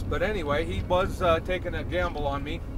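A man's voice at a moderate pace, dry with no echo, over noticeable background noise. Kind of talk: casual vlog chat. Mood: relaxed reminiscing. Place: car. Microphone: phone near.

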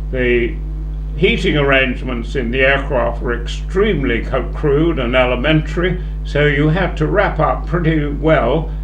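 Against noticeable background noise, a man with a British accent speaks at a fairly slow pace. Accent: older British English. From England. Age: 80s+. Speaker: war veteran. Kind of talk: elderly airman recounting wartime memories to students, reflective interview answers. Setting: school interview and assembly. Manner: halting, full of ums and repeated words; measured, understated, matter-of-fact about grim events. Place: meeting room. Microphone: handheld.

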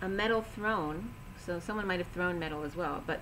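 A woman talks at a medium speed, her pitch rising and falling in ordinary ways, with faint noise in the background. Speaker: tarot or intuitive reader. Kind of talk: intuitive reading monologue. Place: home room. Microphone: webcam.

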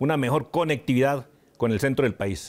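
This man has a normal speaking voice and talks fairly quickly, his medium pitch varying in an ordinary way. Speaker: town mayor. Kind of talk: interview.

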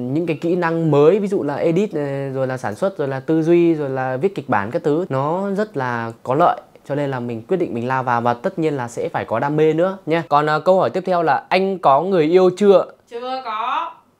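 Lively intonation from a man with a fairly high pitch at a moderate pace. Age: 20s. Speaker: YouTuber and comedy creator, drama student; YouTuber answering viewer questions. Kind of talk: casual Q&A video. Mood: playful, joking. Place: home room. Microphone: lapel.

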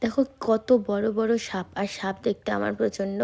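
Dark and mellow in tone, a woman's voice comes through. It sits fairly high in pitch. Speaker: vlogger. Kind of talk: vlog voiceover narration.

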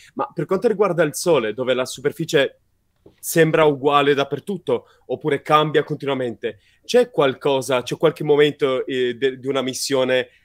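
An unremarkable speaking voice comes through at a moderate pace with ordinary pitch variation, in a dry, close sound with no echo. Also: man, fairly high pitch for a man. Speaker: science communicator. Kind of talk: live interview. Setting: live stream.

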